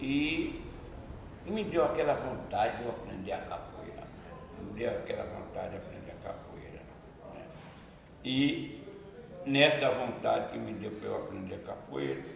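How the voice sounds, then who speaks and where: Against noticeable background noise and audible room echo, a man speaks at a fairly slow pace with long, frequent pauses and big swings in loudness. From Brazil, Bahia, Salvador. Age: 80s+. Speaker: capoeira master. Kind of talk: interview, reminiscing.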